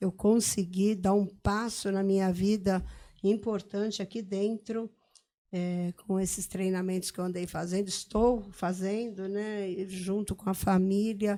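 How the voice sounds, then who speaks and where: Her tone dark and mellow, a woman of medium pitch speaks in a flat monotone at a fairly slow pace in a very clean recording with a silent background. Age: 60s. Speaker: mayor. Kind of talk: podcast interview. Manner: halting.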